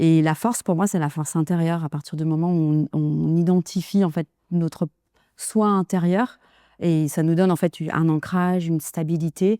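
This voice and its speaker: A fairly low-pitched woman at a moderate pace, in a dry, close recording with no echo, very clean with a silent background. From Kurdistan, Turkey. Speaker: interview guest. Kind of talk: interview. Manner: calm, measured; hesitant, many fillers.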